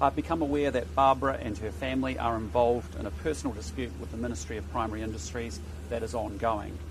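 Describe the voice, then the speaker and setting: A man's somewhat breathy voice at a fairly quick pace, with very wide pitch swings, a dry sound with no echo and noticeable background noise. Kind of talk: prepared statement then press answers. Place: street.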